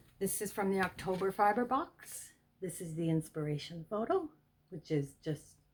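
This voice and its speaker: The woman's voice is somewhat breathy, with ordinary pitch variation. She speaks at a fairly slow pace. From Canada, Ottawa Valley. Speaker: fiber arts YouTuber. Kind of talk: show-and-tell tutorial. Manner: enthusiastic.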